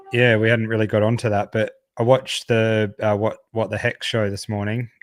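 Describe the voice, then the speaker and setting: The speaker has an Australian accent and a moderate pace. The intonation is monotone and flat. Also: man, medium pitch for a man. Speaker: crypto podcast co-host. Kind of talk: casual chat.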